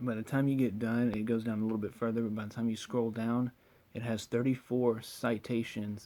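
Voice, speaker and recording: A man's dark, mellow tone at medium pitch, with monotone, flat intonation at a fairly quick pace. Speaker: cannabis science explainer. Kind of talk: screen-share explainer. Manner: fast.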